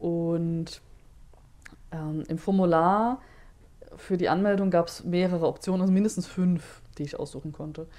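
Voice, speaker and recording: A woman speaks with a dark, mellow tone. Her pitch is fairly low and her intonation fairly even. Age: 30s. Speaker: social worker at a queer youth centre. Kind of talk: interview.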